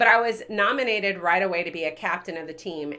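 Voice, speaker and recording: A woman speaks loudly at a moderate pace. Her tone is bright and sharp. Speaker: leadership coach. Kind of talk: casual chat.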